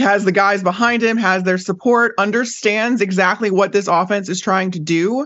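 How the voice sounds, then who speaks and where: With an ordinary speaking voice, a woman talks at a moderate pace at medium pitch with ordinary pitch variation. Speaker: NFL reporter. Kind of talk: sports analysis interview.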